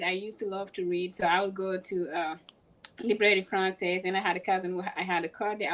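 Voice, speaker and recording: Very fast speech from a woman, with noticeable background noise behind it. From Senegal (Dakar). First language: French or Wolof. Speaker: pilot. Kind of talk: interview.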